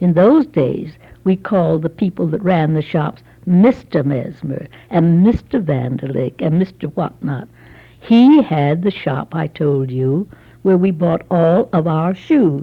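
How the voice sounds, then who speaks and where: A somewhat breathy woman's voice, fairly low in pitch, with lively intonation at a fairly slow pace. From Los Angeles, California. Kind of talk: oral history interview, recalling childhood.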